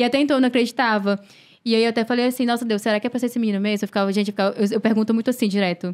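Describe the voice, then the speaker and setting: In a very clean recording with a silent background, a woman speaks at a very fast pace. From Fortaleza, Ceará, Brazil. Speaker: model and content creator. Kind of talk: casual chat. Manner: halting.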